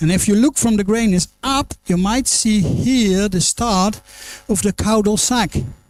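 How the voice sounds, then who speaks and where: Someone with a Dutch accent speaks at a fairly slow pace. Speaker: pediatric anesthesiologist. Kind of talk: lecture. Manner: halting.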